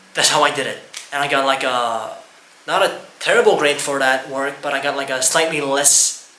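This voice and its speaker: Audible room echo and noticeable background noise around a man talking at a moderate pace. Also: fairly high pitch for a man, ordinary pitch variation. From Estonia. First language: Estonian. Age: 20s. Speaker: YouTuber. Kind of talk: personal testimony. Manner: halting.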